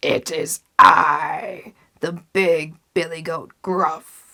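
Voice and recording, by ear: A put-on character voice, hoarse and growling, middle in pitch and very slow in pace.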